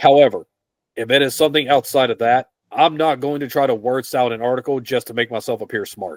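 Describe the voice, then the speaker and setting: Speaking very fast with an American accent, a man keeps a medium pitch and ordinary pitch variation. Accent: twang. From West Virginia, US. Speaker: fitness writer. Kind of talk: interview. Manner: plain, simple speech.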